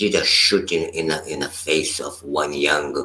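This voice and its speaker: A man talks very slowly while noticeable background noise carries on behind him. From Brazil. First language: Portuguese. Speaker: meditation teacher. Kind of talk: dharma talk. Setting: live stream. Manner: halting.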